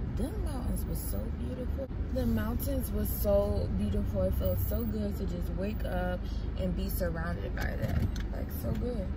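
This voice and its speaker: A woman talks at a fairly slow pace. Her voice is dry with no echo, but loud background noise sits behind it. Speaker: vlogger living in her car. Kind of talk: casual vlog chat. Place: car. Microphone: phone near.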